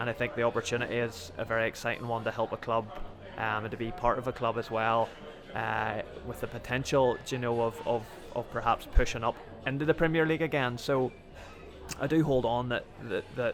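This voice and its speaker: Over music in the background, a man with a Northern Irish accent speaks at a fairly quick pace and medium pitch, with fairly even intonation and long, frequent pauses. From Northern Ireland, County Antrim. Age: 30s. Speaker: footballer. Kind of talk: interview. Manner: halting.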